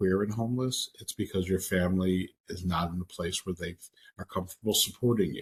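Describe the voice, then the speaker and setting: A man talks at a fairly quick pace in a very deep, low pitch with ordinary pitch variation. His voice is somewhat breathy, and the sound is dry and close with no echo. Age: 60s. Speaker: social services program director and trainer. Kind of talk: Q&A in online training session.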